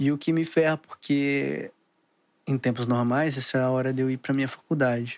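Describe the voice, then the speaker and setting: A man's medium-pitched, monotone, flat voice at a moderate pace, in a very clean recording with a silent background and a dry, close sound with no echo. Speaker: podcaster. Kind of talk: casual rambling monologue. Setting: home, recording at computer.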